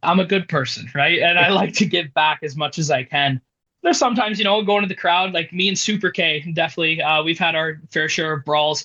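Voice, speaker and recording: A man with a Canadian accent speaks at a fairly quick pace in a high pitch. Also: ordinary pitch variation. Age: 20s. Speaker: professional wrestler. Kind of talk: interview.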